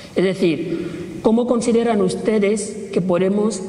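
A man's voice with ordinary pitch variation. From Equatorial Guinea. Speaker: pan-Africanist activist. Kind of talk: public talk. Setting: stage with audience. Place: hall.

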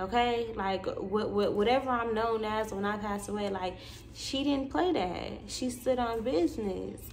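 A woman's animated tone at a moderate pace, with ordinary pitch variation and light background noise. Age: 20s. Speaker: YouTuber and spiritual content creator; vlogger. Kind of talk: casual monologue vlog. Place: home room. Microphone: phone near.

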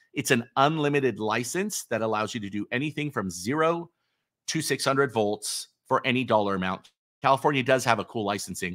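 Against a quiet background, a man speaks at a medium pitch. His intonation is lively. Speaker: electrical contractor and online channel host. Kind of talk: live stream Q&A. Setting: live video stream. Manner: fast talker. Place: studio.

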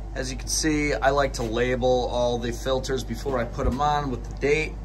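A man's voice over light background noise. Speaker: DIY tractor owner. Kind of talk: tutorial. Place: workshop. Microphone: phone near.

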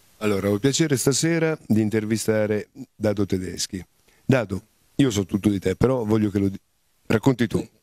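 A man's fairly low, dark, mellow voice at a fairly quick pace, with ordinary pitch variation and long, frequent pauses, in a dry recording with no echo and a quiet background. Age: 50s. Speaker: interviewer. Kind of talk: interview. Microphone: handheld.

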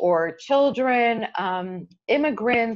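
A woman with a Chicago accent speaks with lively intonation. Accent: American (Chicago) English. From US Midwest, Chicago, with years in Israel. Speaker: nonprofit executive. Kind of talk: interview. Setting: video call. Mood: warm, earnest. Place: home room. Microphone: earbuds.

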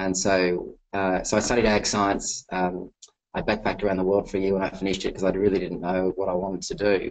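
A man with an Australian accent speaks very fast in a very deep, low voice, his intonation flat and monotone. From Western New South Wales, Australia. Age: 40s. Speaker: entrepreneur and investor. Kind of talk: webinar talk with Q&A. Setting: webinar on webcam. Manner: relaxed, easy to listen to. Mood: reflective, candid. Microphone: webcam.

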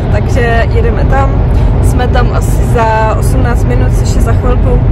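Loud noise fills the background. A woman talks over it. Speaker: vlogger. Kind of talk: casual vlog chat. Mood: relaxed, cheerful. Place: car. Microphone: phone near.

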